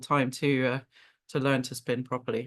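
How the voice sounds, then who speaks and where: In a British accent, a woman speaks against a quiet background. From United Kingdom. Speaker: marine mammal scientist. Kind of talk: webinar presentation. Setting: video call. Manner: hesitant fillers (um, uh).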